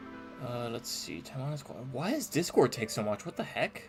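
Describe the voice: Lively intonation in a plain read-aloud passage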